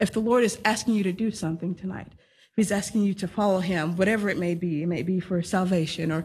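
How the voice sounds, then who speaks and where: Speaking very fast, a woman uses a Texan accent and a medium pitch. Her voice is somewhat breathy, with fairly even intonation. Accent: Texan American. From Texas. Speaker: young missionary. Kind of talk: testimony.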